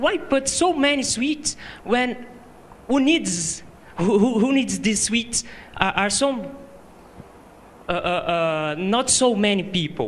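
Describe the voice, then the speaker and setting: Over noticeable background noise, the speaker goes at a very slow pace with long, frequent pauses. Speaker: audience member asking a question. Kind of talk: audience question. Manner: halting, many repetitions.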